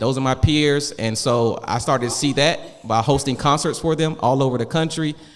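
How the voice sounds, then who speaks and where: A man speaks at a moderate pace in a medium pitch, with ordinary pitch variation, an animated tone and audible room echo. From Augusta, Georgia. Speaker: wealth coach. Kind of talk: panel discussion. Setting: stage with audience.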